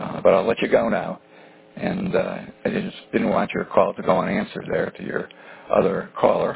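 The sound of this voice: This man has a low pitch with vocal fry and a husky, rough edge. He keeps a moderate pace with little pitch movement.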